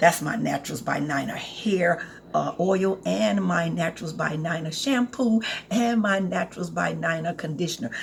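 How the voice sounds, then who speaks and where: A woman speaks in an animated tone with a fairly low pitch and very wide pitch swings at a moderate pace. Noticeable background noise is present. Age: 60s. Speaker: herbal skincare product maker. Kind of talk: casual sales pitch to camera. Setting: home apothecary, recording to camera. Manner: animated, chatty.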